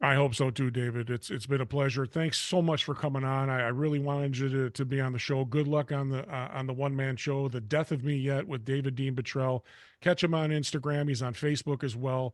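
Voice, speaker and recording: An unremarkable speaking voice talks at a fairly quick pace with hardly any pauses. Its intonation is fairly even, and the background is quiet. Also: man, medium pitch for a man. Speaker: talk show host. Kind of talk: interview; show closing remarks. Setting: studio.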